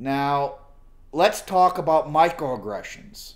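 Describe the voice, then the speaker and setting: Pitched fairly high, the man's voice varies in pitch in an ordinary way. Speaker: political video blogger. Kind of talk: casual vlog monologue. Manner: halting, improvised.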